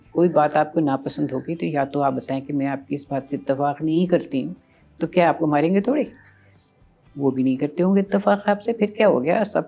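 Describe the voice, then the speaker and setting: With music in the background, a woman speaks at a very deep, low pitch and with lively intonation. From Pakistan. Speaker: radio broadcaster. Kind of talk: interview answer.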